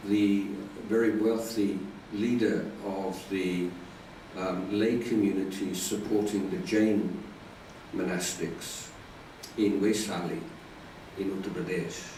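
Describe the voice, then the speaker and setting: A man with a British accent speaks very slowly at a fairly low pitch, with long, frequent pauses and fairly even intonation. There is audible room echo and noticeable background noise. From UK. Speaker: Buddhist monk. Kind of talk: dharma talk. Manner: hesitant, many fillers.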